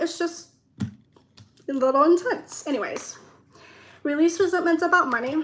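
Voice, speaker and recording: A woman's raised, projected voice with a bright, sharp tone, lively intonation and a moderate pace. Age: 20s. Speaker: tarot reader. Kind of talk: tarot reading. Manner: rambling, talks in circles; trips on words.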